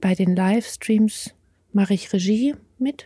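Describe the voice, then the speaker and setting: A somewhat breathy woman's voice. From Bavaria, near the Alps. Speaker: livestream crew member. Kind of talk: casual interview.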